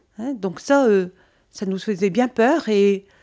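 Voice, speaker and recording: Here a woman talks at a fairly slow pace in an ordinary speaking voice. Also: very clean recording, silent background. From French Flanders (Nord). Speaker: museum association president, former local councillor. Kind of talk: interview explanation.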